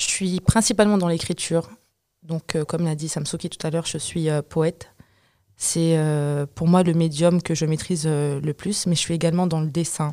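Long, frequent pauses break up a woman's speech, delivered in a fairly low pitch with a dark, mellow tone and monotone, flat intonation. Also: moderate pace. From France, Comorian and Malagasy heritage. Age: 20s. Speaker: poet and artist. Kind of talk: group discussion.

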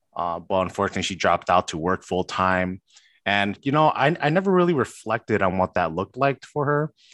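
A man with an ordinary speaking voice, fairly quick and lively in intonation, in a dry, close sound with no echo. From Chicago, US. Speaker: doctoral student. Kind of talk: interview. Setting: call.

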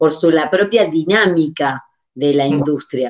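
At a very slow pace, a woman speaks in a very deep, low pitch. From Uruguay. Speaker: podcast host. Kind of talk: interview.

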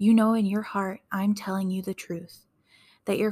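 A somewhat breathy woman of medium pitch with a calm, gentle tone, on a very clean recording with a silent background. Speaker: podcast host reading wrestling promos. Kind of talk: whispered relaxation reading of a wrestling promo. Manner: soft, calm, gentle delivery of angry words; slow and sleepy, ASMR-like.

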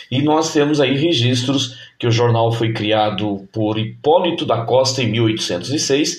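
A somewhat breathy man at a very slow pace, medium in pitch with ordinary pitch variation. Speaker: podcast host and teacher. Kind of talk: casual nostalgic podcast monologue. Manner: animated.

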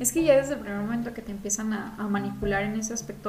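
A woman with a Mexican accent speaks at a very fast pace and a medium pitch. Noticeable background noise and audible room echo come through. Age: young. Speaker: podcast co-host. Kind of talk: casual chat. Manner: animated.

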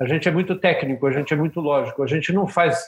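Fairly high in pitch, the man has an unremarkable speaking voice and fairly even intonation. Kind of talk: casual interview chat.

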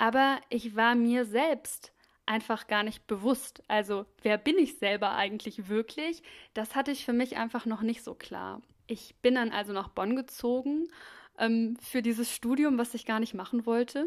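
In a very clean recording with a silent background, a woman uses an ordinary speaking voice at a fairly high pitch, with ordinary pitch variation and a fairly slow pace. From Germany, Krefeld (Lower Rhine). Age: 30s. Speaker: podcast host, mental health and wellbeing. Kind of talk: personal monologue, life story.

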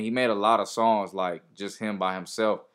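In a normal speaking voice, a man speaks at a fairly quick pace with fairly low pitch and fairly even intonation, on a very clean recording with a silent background. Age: 20s. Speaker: rapper. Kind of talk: casual chat. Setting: studio.

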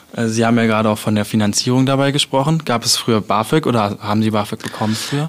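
A medium-pitched man races along at a very fast pace with hardly any pauses, fairly even intonation and very even loudness, against noticeable background noise. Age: 20s. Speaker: student radio host. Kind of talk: radio interview.

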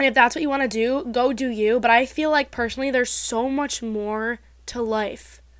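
Animated in tone and with an American accent, the speaker moves at a moderate pace in a very clean recording with a silent background. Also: woman, high pitch for a woman. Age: 20s. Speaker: podcast host. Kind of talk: casual chat.

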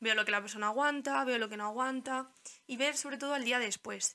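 A woman's normal speaking voice, fairly quick in pace, with fairly even intonation. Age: 20s. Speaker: physiotherapist. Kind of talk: casual chat.

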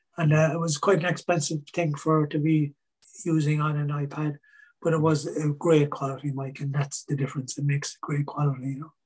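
Somewhat breathy, a man with a Cork accent speaks at a fairly high pitch. His intonation is monotone and flat, his pace fairly quick. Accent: Cork Irish. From Ireland, Cork. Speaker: singer songwriter. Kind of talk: interview.

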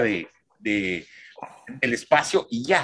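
Using very wide pitch swings, a man with a Mexican accent talks with vocal fry. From Mexico (San Luis Potosí). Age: 60s. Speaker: film critic. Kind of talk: interview.

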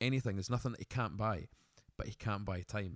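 Animated in tone, a man with a Scottish accent speaks at a very fast pace and a fairly low pitch. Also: dry, close sound with no echo. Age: 20s. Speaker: podcast co-host, business owner. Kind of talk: casual chat.

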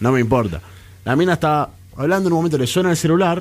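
With lively intonation, a man speaks very fast. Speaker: radio co-host. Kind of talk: casual chat.

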